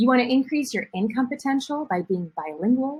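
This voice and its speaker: A woman with a Midwestern US accent, lively intonation and a moderate pace. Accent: Midwest American English. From US Midwest, rural Ohio. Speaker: Spanish teacher and language school founder. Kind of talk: promotional presentation.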